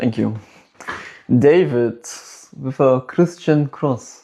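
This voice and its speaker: The speaker, a man, has a medium pitch. He talks with a non-native accent. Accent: noticeable non-native. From Germany. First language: German. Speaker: livestream debate host and activist. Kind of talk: livestream debate. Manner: animated, argumentative.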